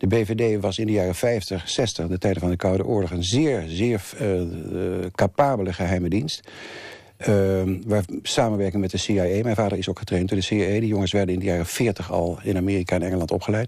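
This man talks at a fairly quick pace with fairly even intonation. His pitch is very deep and low, and his tone is dark and mellow. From Netherlands, The Hague. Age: 70s. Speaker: thriller writer. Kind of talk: interview.

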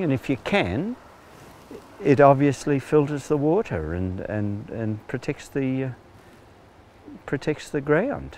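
In an Australian accent, a man talks very slowly with very wide pitch swings, his voice dry with no echo over light background noise. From Central West New South Wales, Australia. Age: 60s. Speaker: retired farmer, farm manager. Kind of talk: interview answer. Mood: calm, reflective. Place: open country.

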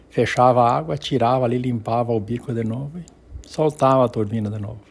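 At a moderate pace, a man talks in a medium-pitched voice. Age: 60s. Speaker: family storyteller. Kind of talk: personal storytelling. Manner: halting.

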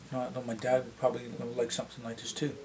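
There is light background noise behind a man's voice. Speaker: vlogger. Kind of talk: casual vlog chat. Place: home room.

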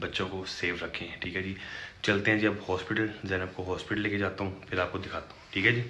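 A man talks in a flat monotone at a moderate pace. A little background noise can be heard. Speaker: vlogger. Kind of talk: casual vlog chat. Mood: concerned, earnest. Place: home room. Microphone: phone near.

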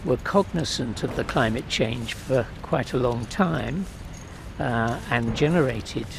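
Over noticeable background noise, a man with a medium pitch speaks with lively intonation. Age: 70s. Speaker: protester, retired professor. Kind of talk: interview. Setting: outdoors. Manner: halting.

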